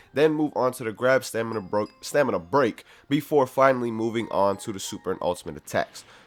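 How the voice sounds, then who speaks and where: Over music in the background, a man of medium pitch speaks at a fairly quick pace with lively intonation. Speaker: gaming YouTuber. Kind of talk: gameplay commentary. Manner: casual, energetic.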